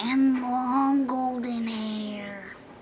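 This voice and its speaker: A woman's put-on character voice, high in pitch, over clear background noise. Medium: read story. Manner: bellowing, gruff.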